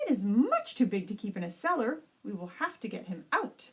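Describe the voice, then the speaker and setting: Putting on a character voice, a woman speaks at a fairly quick pace in a fairly high pitch with very wide pitch swings. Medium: read story. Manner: brisk, matter-of-fact.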